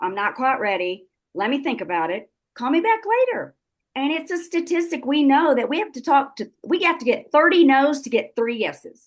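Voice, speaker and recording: In a Texan accent, a woman with a high voice talks with very wide pitch swings. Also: moderate pace. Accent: Texan Southern US. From South Texas. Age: 70s. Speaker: network marketing business leader. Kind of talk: motivational talk on a group call. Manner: animated.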